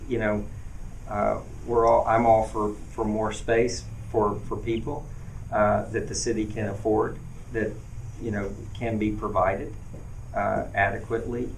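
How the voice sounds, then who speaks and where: With an American accent, a man talks fairly slowly in a fairly low, monotone voice, leaving long, frequent pauses amid audible room echo. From US South, western North Carolina. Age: 40s. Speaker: mayoral candidate. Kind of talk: campaign Q&A at town hall. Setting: event with live audience. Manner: halting, many fillers.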